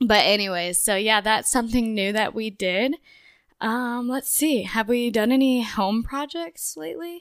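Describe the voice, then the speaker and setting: Fairly high in pitch, a woman with a normal speaking voice talks at a fairly slow pace with lively intonation on a very clean recording with a silent background. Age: 20s. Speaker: podcast co-host, pregnant mother. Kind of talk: casual chat.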